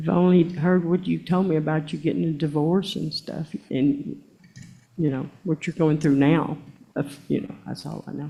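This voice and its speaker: A woman with vocal fry and a very deep, low pitch speaks at a moderate pace, her dark, mellow tone carrying ordinary pitch variation. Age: 60s. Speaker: court witness. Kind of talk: court testimony. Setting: courtroom. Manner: defensive.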